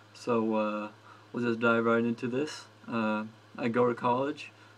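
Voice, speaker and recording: Over noticeable background noise, a man with an American accent speaks at a medium pitch in a monotone, flat way. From New Jersey. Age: 20s. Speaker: gaming vlogger and college student. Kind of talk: casual vlog. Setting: dorm room.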